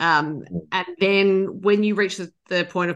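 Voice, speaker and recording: This woman has a medium-pitched voice with an Australian accent and ordinary pitch variation. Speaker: podcast interviewer. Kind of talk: interview.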